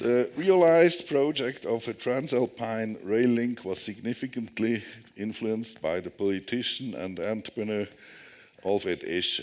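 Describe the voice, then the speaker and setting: A man with a Swiss German accent speaks at a moderate pace, his medium-pitched voice carrying lively intonation. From Switzerland. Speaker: tunnel engineer. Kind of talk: conference presentation. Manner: halting.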